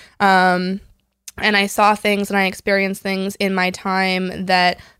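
An American accent carries a woman's medium-pitched voice in a very clean recording with a silent background. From US West Coast, San Diego. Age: 20s. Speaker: foster and adoptive parent. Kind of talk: casual chat.

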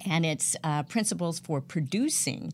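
A woman's fairly low voice with vocal fry and lively intonation, in an American accent, at a fairly slow pace. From US South, Georgia. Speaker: professional speaker and music artist. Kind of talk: interview. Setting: online radio show.

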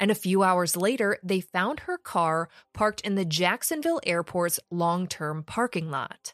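In a dry, close sound with no echo, a woman with a normal speaking voice talks fairly slowly at medium pitch, with ordinary pitch variation. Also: very clean recording, silent background. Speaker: true crime podcaster. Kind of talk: true-crime narration. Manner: conversational, snarky, sarcastic.

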